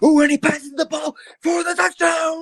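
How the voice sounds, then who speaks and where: In a put-on character voice, a man talks at an extremely high pitch. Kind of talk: announcer, excited. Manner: excited play-by-play.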